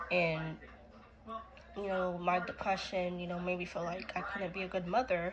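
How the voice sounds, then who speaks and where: Amid noticeable background noise and audible room echo, a woman speaks in a monotone, flat way with fairly low pitch at a fairly slow pace. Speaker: vlogger sharing personal story. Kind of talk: personal testimony. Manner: hesitant, many fillers.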